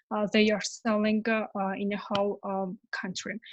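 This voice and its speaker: A woman with a Georgian accent and fairly high pitch, at a fairly slow pace, in a dry, close sound with no echo against a quiet background. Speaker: conference panelist. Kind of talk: online panel discussion. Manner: halting, many fillers.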